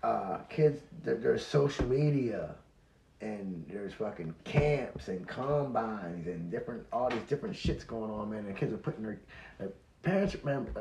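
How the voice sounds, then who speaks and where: The voice is dark and mellow in tone, somewhat breathy, with very wide pitch swings. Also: man, medium pitch for a man, moderate pace. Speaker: company founder and podcast guest. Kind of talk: casual chat. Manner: repetitive, halting.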